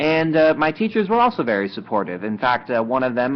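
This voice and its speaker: A man with an American accent, at a very fast pace. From Germany (Düsseldorf), US family. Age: young. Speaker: student, study-abroad alumnus. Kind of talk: interview. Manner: hesitant, many fillers.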